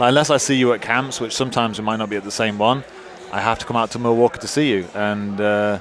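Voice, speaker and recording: Over noticeable background noise, a man with a medium pitch talks at a very fast pace with fairly even intonation. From UK. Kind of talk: live commentary banter.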